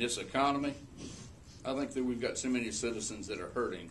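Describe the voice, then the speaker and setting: The speaker here is a man. His voice carries audible room echo. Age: 60s. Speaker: political candidate, state legislator and business owner. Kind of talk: political debate.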